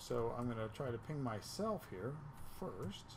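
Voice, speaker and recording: The voice is somewhat breathy, with very wide pitch swings at a fairly slow pace. Light background noise is present. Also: man. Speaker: networking instructor. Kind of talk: tutorial. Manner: casual.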